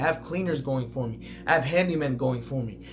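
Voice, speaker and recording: A very fast, intense male voice at medium pitch with ordinary pitch variation, audible room echo and music in the background. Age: 20s. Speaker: online entrepreneur, Airbnb host. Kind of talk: motivational talk to camera. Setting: talking to camera. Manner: aggressive, intense.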